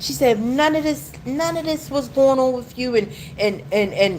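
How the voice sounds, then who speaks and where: Through audible room echo and noticeable background noise, a woman speaks fairly slowly. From United States. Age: 40s. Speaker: YouTube livestreamer. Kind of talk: livestream monologue. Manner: rambling, repeats words.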